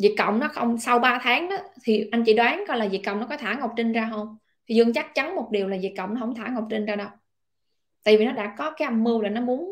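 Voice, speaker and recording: A woman with a Southern Vietnamese accent speaks very fast. Her voice sits fairly high, with ordinary pitch variation. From southern Vietnam, Long An. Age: 30s. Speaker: online political commentator. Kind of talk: casual monologue commentary. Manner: loud.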